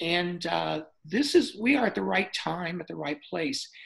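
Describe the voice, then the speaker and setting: A woman is speaking. Her voice has vocal fry. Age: 70s. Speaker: dentist. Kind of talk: interview.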